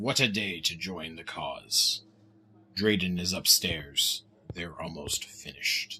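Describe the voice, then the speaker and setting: A man speaks at a fairly slow pace in a put-on character voice with a very deep, low pitch. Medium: video game.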